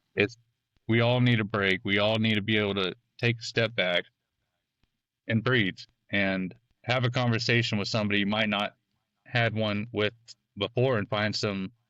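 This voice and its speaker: In a Texan accent, a man with a fairly low, bright and sharp voice speaks in a flat monotone, leaving long, frequent pauses. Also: moderate pace, dry, close sound with no echo, quiet background. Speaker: solar energy worker. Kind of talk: casual chat.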